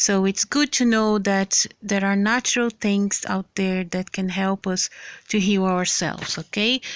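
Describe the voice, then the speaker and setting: A woman with a non-native accent at medium pitch and a fairly slow pace, in a very clean, dry, close recording with a silent background and no echo. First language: not English. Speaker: health vlogger. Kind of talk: casual vlog with reading aloud. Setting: handheld camera. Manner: halting.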